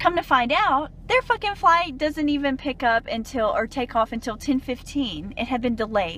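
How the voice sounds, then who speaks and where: With a Southern US accent, a woman talks at a fairly slow pace, her high voice making very wide pitch swings. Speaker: dietitian and travel blogger. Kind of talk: casual rant to camera.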